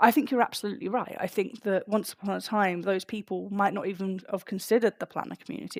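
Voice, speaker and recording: Speaking very fast with a London accent, a woman has a medium pitch, fairly even intonation, and a dry, close sound with no echo. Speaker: podcast co-host. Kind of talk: casual chat.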